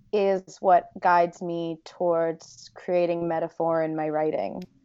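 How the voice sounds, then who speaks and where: A woman with a normal speaking voice, an American accent, fairly low pitch and a fairly slow pace. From US Northeast, South Jersey. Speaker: poet. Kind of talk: casual interview chat.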